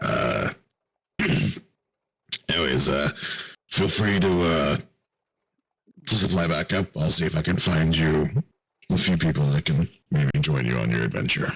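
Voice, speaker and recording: A man puts on a character voice that is raspy with a very deep, low pitch and ordinary pitch variation. He keeps a moderate pace and very even loudness, with long, frequent pauses. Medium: actual play. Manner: hesitant, halting.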